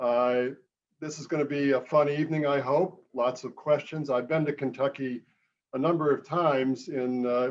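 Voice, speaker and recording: A fairly high-pitched man with a northern US accent, at a moderate pace, with fairly even intonation. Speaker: author and journalist. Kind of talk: public talk. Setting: video call.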